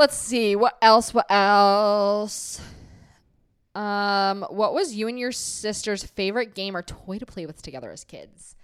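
Recorded very cleanly over a silent background, a woman with a medium pitch and ordinary pitch variation has an ordinary speaking voice, with big swings in loudness. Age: 20s. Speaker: podcast co-host. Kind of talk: casual chat.

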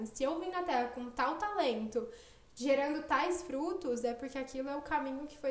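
At a moderate pace, a woman speaks at a high pitch with audible room echo. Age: 20s. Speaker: architect, podcast guest. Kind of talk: casual chat.

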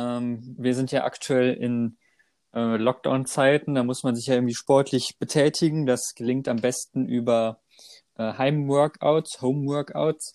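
A man with a medium-pitched voice speaks at a fairly slow pace with fairly even intonation and an unremarkable speaking voice, recorded dry and close with no echo, very clean against a silent background. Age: 20s. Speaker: podcast co-host. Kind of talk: casual chat.

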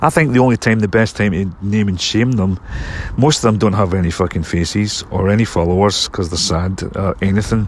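Noticeable background noise sits under a man's fairly low voice. He talks at a fairly quick pace with ordinary pitch variation. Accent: Scottish. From Scotland. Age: 50s. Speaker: filmmaker and actor. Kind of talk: casual monologue. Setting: outdoors in a cemetery.

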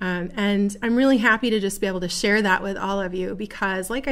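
Here a woman speaks with an American accent in a plain, everyday voice. Her pitch is medium and her pace fairly quick. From Buffalo, New York. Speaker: podcast host and direct-sales entrepreneur. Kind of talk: solo monologue. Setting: studio.

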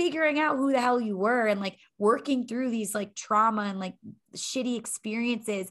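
Her tone is animated, and her pitch is fairly high. The woman speaks at a moderate pace with ordinary pitch variation. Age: 30s. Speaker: fitness instructor and life coach. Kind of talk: casual chat.

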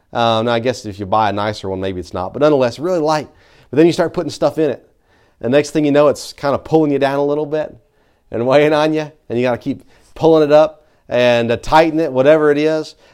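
Someone with a Southern US accent talks at a very fast pace with ordinary pitch variation, and the background is quiet. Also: man, fairly high pitch for a man. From Tennessee. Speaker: pastor. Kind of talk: sermon. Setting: church. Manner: halting.

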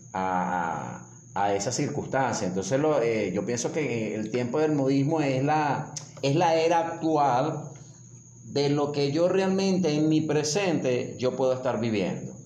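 Amid noticeable background noise and audible room echo, a man with a fairly high pitch speaks at a fairly slow pace, his intonation lively and his loudness very even. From Venezuela. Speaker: motivational coach. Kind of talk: casual chat.

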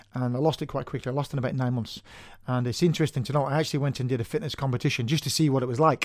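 In a Manchester accent, a man talks at a very fast pace with medium pitch and fairly even intonation, on a very clean recording with a silent background. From Manchester, northern England. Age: 40s. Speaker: personal trainer. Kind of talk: casual interview chat. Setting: studio.

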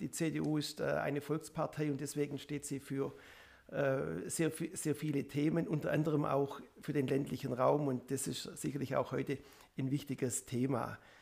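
A man talks at a moderate pace with fairly even intonation. His fairly high voice carries vocal fry. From Upper Swabia, Biberach district. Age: 50s. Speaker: state politician. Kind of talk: self-introduction.

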